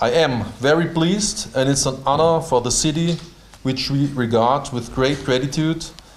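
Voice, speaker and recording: Over noticeable background noise and audible room echo, a man with a German accent speaks at a moderate pace with a fairly high pitch and ordinary pitch variation. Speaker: mayor. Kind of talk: formal welcome speech. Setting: town hall reception with audience. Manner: reading from paper.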